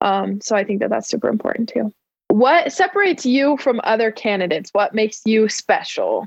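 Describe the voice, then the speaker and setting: With an American accent, a woman in a normal speaking voice talks at a fairly high pitch. Her pace is fairly quick and her intonation lively. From Arizona, raised partly in Utah. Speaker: student podcast host. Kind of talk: casual chat and interview. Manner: lots of fillers, laughing.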